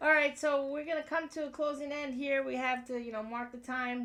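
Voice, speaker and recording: In a raised, projected voice with a bright, sharp tone, a woman with an American accent speaks at a high pitch and a moderate pace, with ordinary pitch variation. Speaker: podcast host. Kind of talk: casual chat. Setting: garage.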